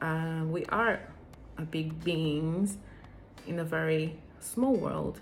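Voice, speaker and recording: Fairly low female voice with a non-native accent, fairly even intonation and audible room echo. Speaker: vlogger. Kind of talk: personal vlog talk. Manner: hesitant, with fillers.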